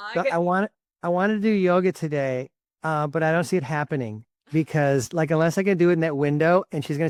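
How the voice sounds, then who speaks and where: In a dry, close sound with no echo, a man with a fairly high pitch speaks at a fairly quick pace with ordinary pitch variation. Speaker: lawyer and law professor. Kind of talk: interview. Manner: fast; animated.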